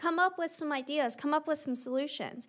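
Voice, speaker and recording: Against a quiet background, a woman talks at a moderate pace in a high pitch with ordinary pitch variation. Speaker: environmental science lecturer. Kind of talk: interactive workshop. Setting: stage with audience. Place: hall. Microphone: podium.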